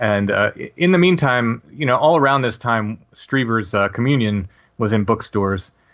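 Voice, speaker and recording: Here is a man with an unremarkable speaking voice at medium pitch. He moves at a moderate pace with lively intonation. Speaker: paranormal podcaster. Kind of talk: interview, personal testimony.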